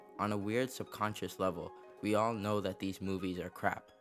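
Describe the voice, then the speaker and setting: Music plays in the background as a man speaks with a fairly low pitch. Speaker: video essayist. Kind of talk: video essay narration.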